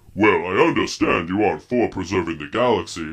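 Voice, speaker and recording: Putting on a character voice, a man talks fairly quickly at a fairly low pitch. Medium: audio drama. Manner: polite, earnest, mild.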